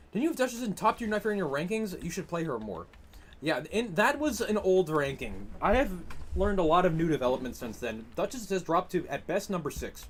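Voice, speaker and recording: In a Massachusetts accent, a man talks at a fairly quick pace and a high pitch. His tone is animated, with very wide pitch swings. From Massachusetts, US. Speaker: gaming streamer. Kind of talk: live stream commentary while gaming, reading chat. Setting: live stream. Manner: casual, animated.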